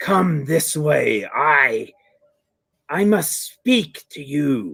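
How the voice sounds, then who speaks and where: A put-on character voice growls at a middle pitch. The delivery is very slow. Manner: sneaking, quiet, beckoning.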